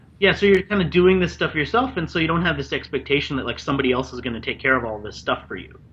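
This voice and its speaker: Over noticeable background noise, a man with an American accent speaks at a very fast pace with very wide pitch swings. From Washington D.C. area, US. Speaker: marketing expert and author. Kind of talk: interview.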